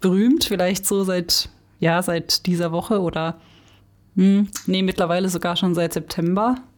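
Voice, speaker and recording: This is an ordinary speaking voice. It moves at a fairly slow pace with fairly even intonation. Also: woman, medium pitch for a woman. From Stutensee-Büchig, Baden. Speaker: former editorial team member, teacher trainee. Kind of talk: casual chat.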